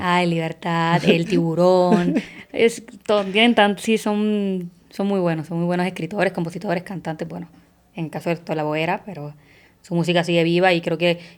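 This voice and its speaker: With a Puerto Rican accent, a woman talks at a moderate pace in a fairly low pitch, her intonation fairly even. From Puerto Rico. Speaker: actress. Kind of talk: podcast interview answer.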